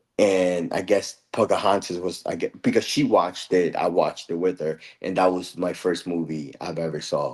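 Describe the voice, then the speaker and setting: Speaking with hardly any pauses, a man talks in a Spanish accent. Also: moderate pace. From El Salvador, moved to US at age 8. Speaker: card game player. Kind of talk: casual chat.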